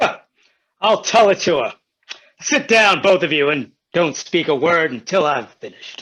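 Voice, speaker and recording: A man uses a put-on character voice, high in pitch. He speaks at a moderate pace with long, frequent pauses. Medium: stage play. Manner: mournful, slow.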